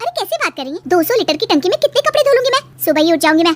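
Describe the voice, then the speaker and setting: A woman does a cartoonish character voice that is squeaky and extremely high-pitched. She talks very fast with very wide pitch swings. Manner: bold, dramatic.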